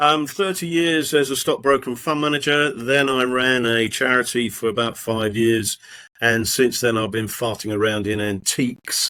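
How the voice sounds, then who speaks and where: On a very clean recording with a silent background, a man with a southern English accent talks at a moderate pace in a medium pitch, his tone bright and sharp and his pitch varying in an ordinary way. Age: 60s. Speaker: podcast co-host, retired stockbroker. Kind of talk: casual chat.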